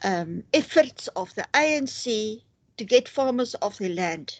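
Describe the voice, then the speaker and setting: A woman with a South African accent and lively intonation, in a dry, close sound with no echo over a quiet background. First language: Afrikaans. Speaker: interviewer. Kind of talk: interview. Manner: hesitant, many fillers. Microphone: poor quality connection.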